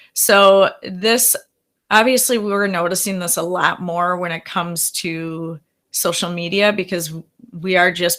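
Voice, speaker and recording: A strong Wisconsin accent in a bright, sharp tone at a fairly slow pace, on a very clean recording with a silent background. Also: woman. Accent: thick Wisconsin. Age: 40s. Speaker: therapist. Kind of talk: workshop presentation.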